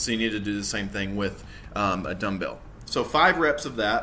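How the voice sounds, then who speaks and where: A man at a fairly quick pace with ordinary pitch variation, with faint music in the background. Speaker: fitness coach. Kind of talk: tutorial. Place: home room. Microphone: webcam.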